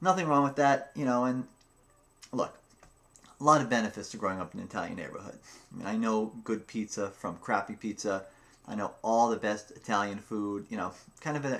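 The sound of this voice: A man's fairly bright, fairly low-pitched voice at a fairly quick pace, with ordinary pitch variation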